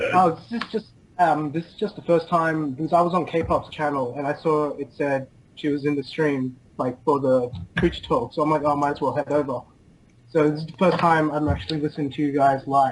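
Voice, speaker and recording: This speaker moves at a fairly quick pace. The accent is Australian. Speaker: caller. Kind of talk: casual chat. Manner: hesitant, halting.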